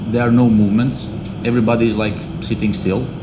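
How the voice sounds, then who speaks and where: A man speaks fairly quickly at a medium pitch with fairly even intonation. Room echo and background noise are both noticeable. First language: non-English. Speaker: football head coach. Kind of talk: press conference. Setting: press conference. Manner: hesitant, many fillers.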